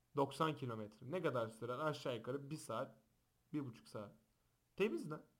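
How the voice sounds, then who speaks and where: A man speaks in an animated tone at a moderate pace, his fairly high pitch moving with ordinary variation. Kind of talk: casual chat. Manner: loud.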